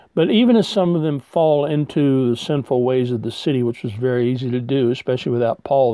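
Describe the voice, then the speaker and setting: A man's fairly high pitch carries a dark, mellow tone and ordinary pitch variation, the sound dry and close with no echo. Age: 60s. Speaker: retired pastor. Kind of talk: sermon.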